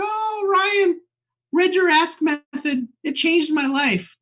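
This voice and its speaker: This is a put-on character voice. It is squeaky, with an extremely high pitch. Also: fairly slow pace. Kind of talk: fangirl voice. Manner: gushing, fangirling.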